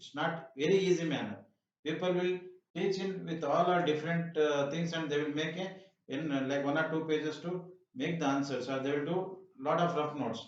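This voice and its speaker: Audible room echo surrounds a man talking fairly quickly in a fairly high voice with fairly even intonation. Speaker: math teacher. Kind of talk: tutorial.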